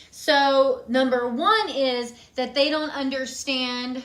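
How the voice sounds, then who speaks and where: There is noticeable background noise here. Through it, a woman speaks with a high pitch. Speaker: marching band fundamentals coach. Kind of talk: live-stream tutorial. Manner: fast; casual, chatty.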